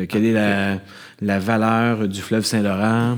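Moderately paced speech from a man with a fairly low pitch and an ordinary speaking voice. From Quebec, Montreal suburbs. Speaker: ecological economics professor and bassist. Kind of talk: live interview before audience. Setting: stage with audience.

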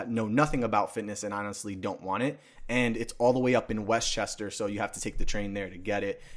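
With a New York accent, a man of medium pitch is heard in a very clean recording with a silent background. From New York City, the Bronx. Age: 20s. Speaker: fitness sales manager. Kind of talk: casual chat.

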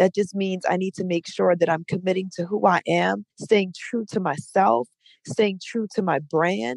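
A woman speaks with an American accent at a medium pitch. Her pitch varies in an ordinary way, and her pace is fairly slow. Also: dry, close sound with no echo. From New Orleans, US South. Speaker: DJ. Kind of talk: casual interview. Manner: animated.

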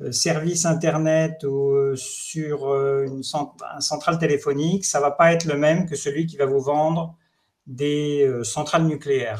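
A man's fairly high voice at a fairly slow pace, in a flat monotone. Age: 50s. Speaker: HR director and startup founder. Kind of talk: webinar panel discussion.

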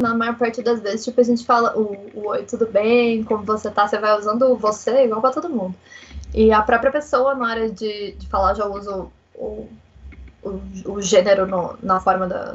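Against noticeable background noise, a woman with a fairly high pitch talks at a moderate pace, her loudness swinging widely. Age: 20s. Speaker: interviewee, history graduate. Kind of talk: interview.

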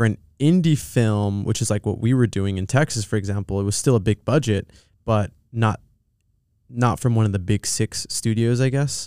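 A man's medium-pitched voice with a dark, mellow tone and a Californian accent, ordinary pitch variation, a moderate pace, and a very clean, silent-background recording with a dry, close sound and no echo. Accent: Californian American English. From Southern California. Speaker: film producer. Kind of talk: casual chat. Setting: studio.

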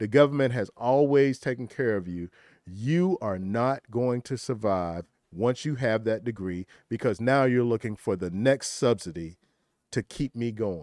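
A man with a Southern US accent talks at a fairly slow pace in a medium pitch with lively intonation. The recording is very clean, with a silent background and a dry, close sound with no echo. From rural South Carolina. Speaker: entrepreneur, political commentator. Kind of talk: panel discussion.

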